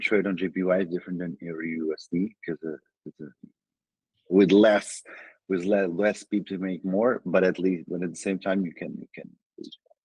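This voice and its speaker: A man with a very deep, low pitch and a dark, mellow tone speaks at a moderate pace in a flat monotone, with big swings in loudness and a dry, close sound with no echo. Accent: Portuguese. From Portugal. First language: Portuguese. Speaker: trader. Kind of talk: interview. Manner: halting.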